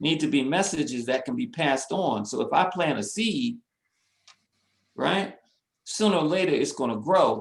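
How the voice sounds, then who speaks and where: Speaking at a moderate pace in an American accent, a man uses very wide pitch swings and vocal fry. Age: 60s. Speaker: community organization president. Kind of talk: webinar discussion.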